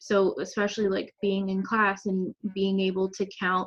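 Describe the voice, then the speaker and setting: With an American accent, a woman speaks at a medium pitch. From North Carolina, US (Charlotte). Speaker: architecture student. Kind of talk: interview.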